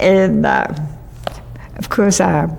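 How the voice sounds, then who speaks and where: With noticeable background noise, a woman speaks in a Southern US accent. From US South, western North Carolina. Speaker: oral history interviewee. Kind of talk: oral history interview. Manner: halting.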